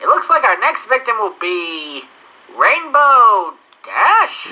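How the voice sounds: A female-sounding cartoonish character voice is pitched high for a woman. It moves at a fairly slow pace.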